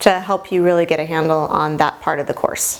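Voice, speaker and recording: Noticeable background noise is present throughout. A woman talks over it. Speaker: medical instructor. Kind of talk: lecture. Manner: casual.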